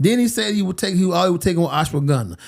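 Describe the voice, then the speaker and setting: Speaking with an American accent, a man uses a high pitch, lively intonation and an animated tone. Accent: Alabama accent when comfortable. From Alabama, US South. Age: 50s. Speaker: boxing podcast co-host. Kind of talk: casual chat.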